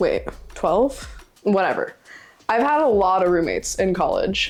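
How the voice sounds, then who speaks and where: With music in the background, a woman speaks at a moderate pace and medium pitch with lively intonation. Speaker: livestreamer. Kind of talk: casual chat. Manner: loud; animated.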